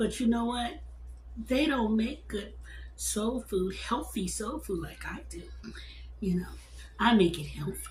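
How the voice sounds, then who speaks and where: A woman speaking with long, frequent pauses amid audible room echo. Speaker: cooking channel host. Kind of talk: casual cooking video talk. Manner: halting, repeating words.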